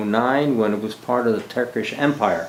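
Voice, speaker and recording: A man with an American accent at a moderate pace and with ordinary pitch variation, amid noticeable background noise and audible room echo. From US Northeast, Philadelphia. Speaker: army veteran and retired teacher. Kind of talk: oral history interview. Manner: halting, with many fillers.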